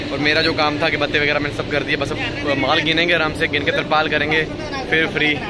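A man's voice moves at a moderate speed, dry and echo-free, beneath loud background noise. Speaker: truck driver vlogger. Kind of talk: casual vlog chat. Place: factory. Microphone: phone near.

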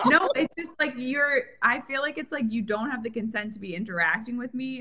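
A woman speaks at a moderate pace with an American accent. Her tone is bright and sharp. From Connecticut. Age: 30s. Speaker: guest co-host. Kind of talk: casual chat.

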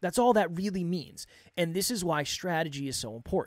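The man's pitch is high and his pace fairly quick. The sound is dry with no echo, against a quiet background. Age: 30s. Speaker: podcast coach and host; podcast coach, host. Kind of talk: solo monologue. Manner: off the cuff, unscripted. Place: studio. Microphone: studio mic.

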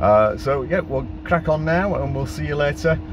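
Noticeable background noise sits under a man speaking at a moderate pace. The sound is dry with no echo. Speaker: EV road trip vlogger. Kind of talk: casual vlog chat. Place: car.

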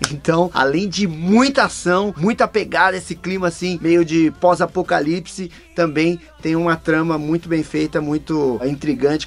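A man talks at a moderate pace with a high-pitched voice. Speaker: voice actor channel host. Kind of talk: casual review commentary. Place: home room.

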